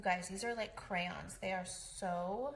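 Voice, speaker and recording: Ordinary pitch variation in a woman's rather slow delivery. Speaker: makeup demonstrator. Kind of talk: casual makeup tutorial chat. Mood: excited at product selling out. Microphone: phone near.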